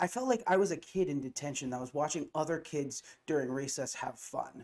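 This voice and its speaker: An unremarkable speaking voice talks with an American accent. The pace is fairly quick and the intonation lively. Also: man, fairly high pitch for a man. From US Midwest, Ohio. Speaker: college student, video creator. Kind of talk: comedic class-project vlog.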